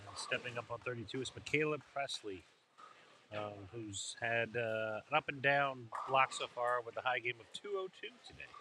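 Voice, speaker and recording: With an American accent, a man of medium pitch speaks at a moderate pace, showing ordinary pitch variation and big swings in loudness. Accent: slight Baltimore accent, some Midwestern. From Baltimore, Maryland. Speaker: bowling commentator. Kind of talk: live commentary.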